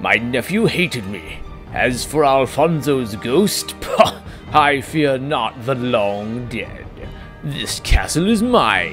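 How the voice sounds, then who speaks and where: Over clear music in the background, a man of medium pitch speaks at a very slow pace. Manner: arrogant, menacing, contemptuous.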